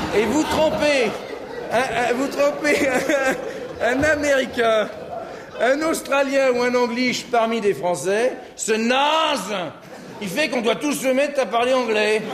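A man speaks at a very slow pace in an extremely high voice, with ordinary pitch variation and very even loudness. Long, frequent pauses break up his speech over light background noise. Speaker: comedian. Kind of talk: humorous corporate keynote.

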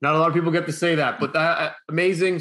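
A man speaks fairly quickly. Behind him, the background is quiet. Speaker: podcast host. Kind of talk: interview host chat. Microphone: video call.

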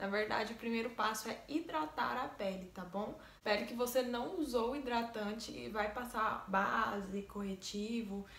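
A woman talks fairly slowly, her voice carrying audible room echo. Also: ordinary pitch variation. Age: 20s. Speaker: makeup artist. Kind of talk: tutorial. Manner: casual. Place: home room. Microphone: phone near.

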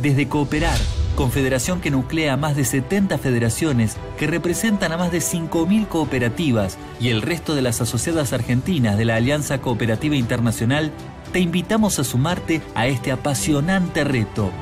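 A man at a fairly high pitch and fairly quick pace, lively in intonation, with clear music in the background. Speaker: voice actor. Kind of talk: promotional event narration. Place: studio.

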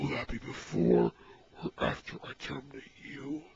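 The put-on character voice is raspy, sitting at a low-to-middle pitch and moving at a moderate pace. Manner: cold, threatening, commanding.

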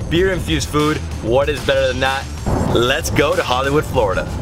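A man at a fairly quick pace over clear background music. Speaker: travel vlogger. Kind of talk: casual vlog chat. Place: car. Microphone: phone near.

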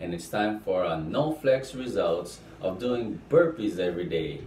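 Room echo is audible as a man talks. There is light noise in the background as well. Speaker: fitness vlogger. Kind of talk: casual vlog chat. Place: bathroom. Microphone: camera far.

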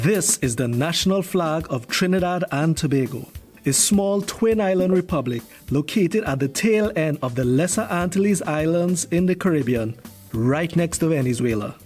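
Over background music, a man speaks at a moderate pace in a high voice, with lively intonation and very even loudness. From Trinidad and Tobago. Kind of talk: educational narration.

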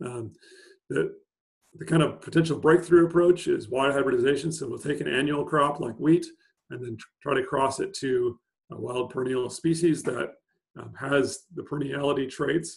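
At a moderate pace, a man with a fairly high, somewhat breathy voice speaks with ordinary pitch variation and big swings in loudness against a quiet background. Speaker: plant scientist. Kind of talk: webinar presentation. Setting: video call. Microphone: video call.

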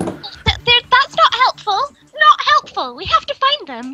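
With music in the background, a woman uses a put-on character voice at an extremely high pitch. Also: fairly slow pace. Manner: frantic, repetitive, worried.

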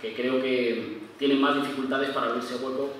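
A man speaks at a fairly quick pace in a monotone with flat intonation, with strong room echo and light background noise. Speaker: conference panelist. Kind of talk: lecture. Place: stage.

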